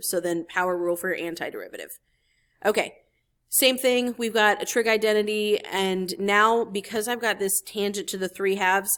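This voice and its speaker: A woman with a normal speaking voice talks at medium pitch with fairly even intonation on a very clean recording with a silent background. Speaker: math teacher. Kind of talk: tutorial.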